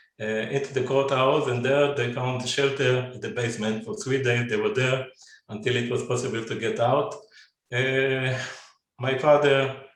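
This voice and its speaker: In a room with audible echo, a man talks at a fairly slow pace, his medium pitch moving with ordinary variation. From Israel. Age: 70s. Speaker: descendant of pogrom survivors, businessman. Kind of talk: personal family testimony in webinar. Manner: halting, many fillers and repetitions.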